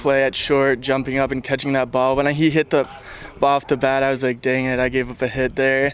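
A man talks at a moderate pace in a fairly high pitch. Noticeable background noise sits behind him. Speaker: college pitcher. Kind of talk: casual pregame interview. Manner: casual, filler-laden.

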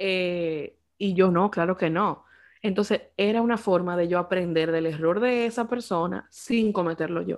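In a normal speaking voice, a woman talks at a medium pitch with ordinary pitch variation on a very clean recording with a silent background. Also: fairly slow pace. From Dominican Republic. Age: 20s. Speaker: podcast co-host. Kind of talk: casual chat.

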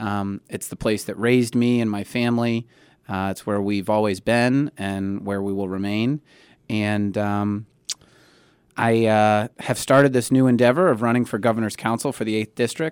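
In a very clean recording with a silent background, a man with an American accent speaks in a normal speaking voice, fairly low in pitch, with fairly even intonation at a moderate pace. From Springfield, Western Massachusetts. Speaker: political candidate, attorney. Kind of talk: radio interview. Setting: studio.

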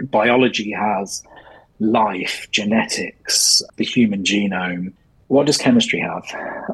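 A man with an English accent talks at a very slow pace. His pitch is fairly low and his intonation fairly even. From England. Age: 40s. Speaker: science journal editor. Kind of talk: interview.

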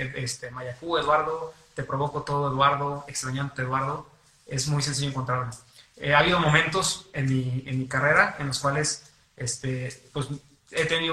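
With noticeable background noise behind him, a man speaks in a monotone, flat way. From San Luis Potosí, Mexico. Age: young. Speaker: singer-songwriter and lawyer. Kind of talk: radio interview. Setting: radio studio.

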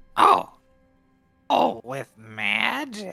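Someone performs a put-on character voice while faint music plays in the background. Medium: actual play. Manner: simple, blunt.

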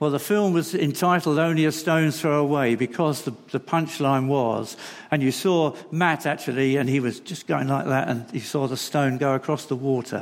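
With hardly any pauses, a man speaks at a moderate pace and a fairly high pitch, showing ordinary pitch variation over noticeable background noise. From London. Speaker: charity representative. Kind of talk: sermon. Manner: halting.

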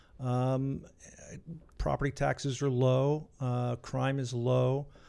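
A man with an American accent speaks in a dark, mellow tone at medium pitch, his intonation flat and monotone. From Connecticut, US Northeast. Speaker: retired Navy veteran. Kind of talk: casual interview chat. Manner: fast talker.

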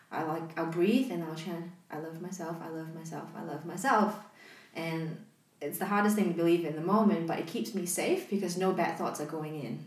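A woman with a fairly low pitch talks at a fairly quick pace with ordinary pitch variation, amid audible room echo and noticeable background noise. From Malaysia. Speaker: podcast co-host. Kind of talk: casual chat.

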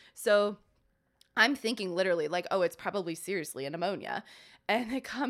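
Her delivery is very fast, and the woman's intonation is lively. The recording is very clean, with a silent background. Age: 30s. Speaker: podcast co-host, healthcare worker. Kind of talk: casual chat. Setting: studio.

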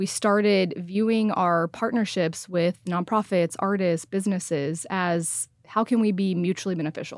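Hardly pausing, a woman speaks with very even loudness and fairly even intonation on a very clean recording with a silent background. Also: medium pitch for a woman, moderate pace. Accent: Texan. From Texas. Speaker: nonprofit founder. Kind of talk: casual chat.

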